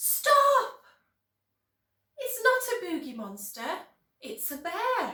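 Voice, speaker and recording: In a whiny, put-on character voice, the speaker talks at a very slow pace with long, frequent pauses and a slight echo. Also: woman, extremely high pitch for a woman. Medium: read story. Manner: whining, timid.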